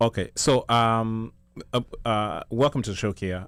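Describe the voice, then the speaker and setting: Someone speaks with a Kenyan accent on a very clean recording with a silent background. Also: man. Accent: Kenyan twang. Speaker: talk show co-host, DJ. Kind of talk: live talk show panel.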